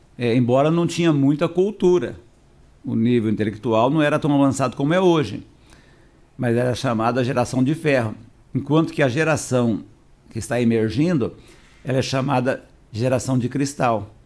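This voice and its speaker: This man talks at a moderate pace with medium pitch and ordinary pitch variation. He takes long, frequent pauses. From Paraná, southern Brazil (Londrina area). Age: 60s. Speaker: pastor. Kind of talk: podcast interview.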